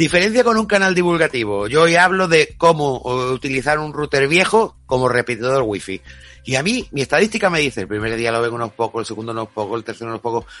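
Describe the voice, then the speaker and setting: Music plays in the background as a man at medium pitch talks at a very fast pace. His pitch swings very widely. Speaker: radio host. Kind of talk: radio talk show.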